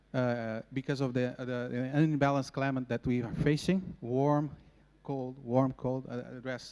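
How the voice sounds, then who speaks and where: A man with a Portuguese accent speaks at medium pitch with fairly even intonation. The recording is very clean, with a silent background. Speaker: agronomist. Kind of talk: conference presentation. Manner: halting.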